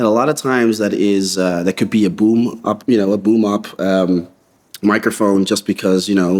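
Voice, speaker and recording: A man with an American accent talks at a fairly quick pace, with fairly low pitch and fairly even intonation, on a very clean recording with a silent background. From Netherlands (Utrecht area). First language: Dutch. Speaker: visual effects supervisor. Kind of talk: interview answers. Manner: casual with many fillers.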